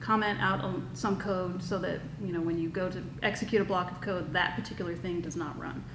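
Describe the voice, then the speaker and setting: A woman at medium pitch with ordinary pitch variation, noticeable background noise and audible room echo. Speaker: workshop instructor. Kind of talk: tutorial. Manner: fast.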